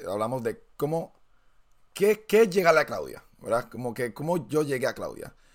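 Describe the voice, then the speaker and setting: His pitch makes very wide swings. The man talks at a moderate pace. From Puerto Rico. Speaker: podcast host. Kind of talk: casual chat.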